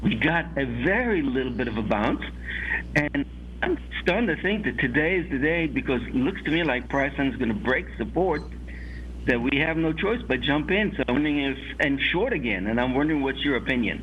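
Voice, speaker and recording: Audible room echo surrounds this man's voice. He speaks at a fairly quick pace with very even loudness. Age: 60s. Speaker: caller, trader. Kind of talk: call-in question.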